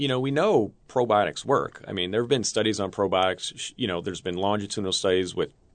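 With an American accent, a man talks at a very fast pace and ordinary pitch variation. The background is quiet. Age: 30s. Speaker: scientist, former college basketball player. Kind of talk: interview.

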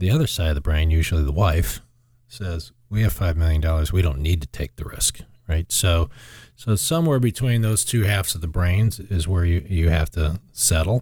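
Pitched very deep and low, a man speaks somewhat breathily at a moderate pace with ordinary pitch variation, on a very clean recording with a silent background. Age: 50s. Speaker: financial advisor. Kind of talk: casual chat.

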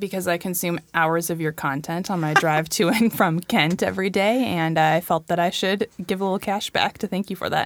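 Fairly low-pitched and fairly even in intonation, a woman with an American accent talks at a moderate pace with hardly any pauses, her unremarkable speaking voice captured in a very clean, dry, close recording with a silent background and no echo. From US Pacific Northwest. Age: 30s. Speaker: book club guest. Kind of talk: casual chat.

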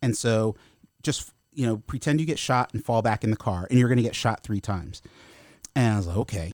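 This man has a plain, everyday voice at medium pitch, moving at a fairly quick pace. The sound is dry and close with no echo, on a very clean recording with a silent background. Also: ordinary pitch variation. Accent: American. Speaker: comic book writer and former actor. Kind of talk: casual interview. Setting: studio.

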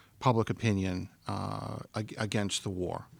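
Using a normal speaking voice, a man with an American accent talks at a moderate pace with a fairly low pitch. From Massachusetts, Boston area (Stoughton). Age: 50s. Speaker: author. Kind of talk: book talk interview. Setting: live event in bookstore with audience.

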